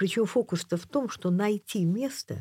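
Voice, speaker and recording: A somewhat breathy woman's voice at a moderate pace with very wide pitch swings, dry and close with no echo, on a very clean recording with a silent background. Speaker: painter and author. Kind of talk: casual interview conversation. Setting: radio studio.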